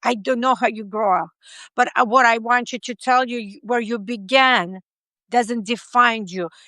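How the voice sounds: The tone is bright and sharp, with ordinary pitch variation. The pace is fairly slow. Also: woman, dry, close sound with no echo.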